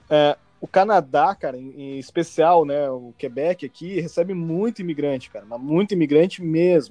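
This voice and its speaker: Moderate pace and hardly any pauses, big swings in loudness, dry, close sound with no echo, music in the background. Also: man, fairly high pitch for a man, ordinary pitch variation. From Brazil. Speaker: podcast host. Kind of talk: casual chat. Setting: remote call, four people in three countries. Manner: animated.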